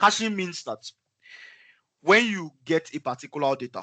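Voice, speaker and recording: A man speaks at a fairly quick pace in a bright, sharp tone with lively intonation. The sound is dry and close, with no echo. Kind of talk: explanatory, teaching.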